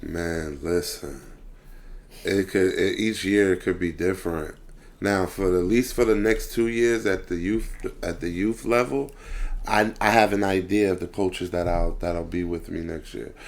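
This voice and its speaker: This man's voice sits fairly low in pitch. His pitch varies an ordinary amount. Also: moderate pace. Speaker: youth football coach. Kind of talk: casual chat. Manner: loud.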